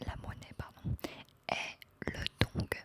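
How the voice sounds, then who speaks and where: A woman is whispering. There is noticeable background noise behind her. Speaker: ASMR creator. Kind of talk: ASMR game video, casual talk to camera. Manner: whispered, soft, slow.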